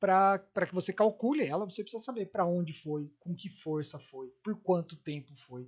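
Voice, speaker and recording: The man's pitch is high, with ordinary pitch variation. He talks at a moderate pace. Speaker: physics teacher. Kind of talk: lecture.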